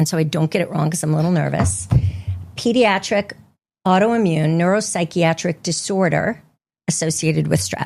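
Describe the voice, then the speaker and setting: A woman talks with a fairly low pitch. Her voice carries vocal fry. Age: 60s. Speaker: clinical social worker. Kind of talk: interview.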